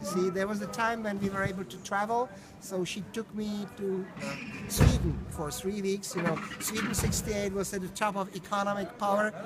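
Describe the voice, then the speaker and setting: A high-pitched man's voice, monotone and flat, with noticeable background noise. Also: moderate pace. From Czech Republic, Prague. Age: 60s. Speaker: tour guide. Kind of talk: guided tour talk. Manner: halting, repeats words.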